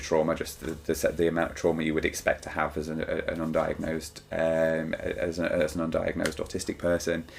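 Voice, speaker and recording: There is noticeable background noise as a man speaks with a British accent. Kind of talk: personal vlog monologue. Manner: fast; halting, many fillers and repetitions.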